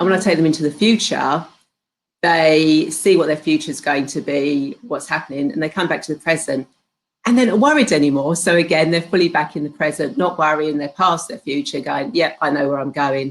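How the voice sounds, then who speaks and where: A woman with a British accent speaks at a fairly quick pace in a very deep, low voice with ordinary pitch variation. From UK. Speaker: spiritual healer and hypnotherapist. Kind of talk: interview. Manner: halting, with many fillers.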